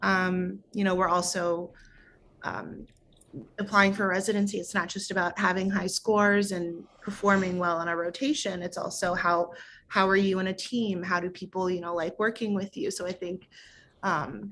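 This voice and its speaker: A woman speaks in a plain, everyday voice with an American accent, her pitch medium. Her pace is moderate, and the recording is very clean with a silent background. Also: fairly even intonation. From St. Louis, Missouri. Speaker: medical resident. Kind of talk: interview answer.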